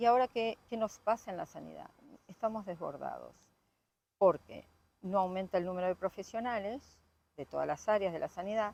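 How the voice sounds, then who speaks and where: A woman with an Argentine accent, medium pitch, ordinary pitch variation and a moderate pace. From Argentina. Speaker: local politician and doctor. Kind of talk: interview.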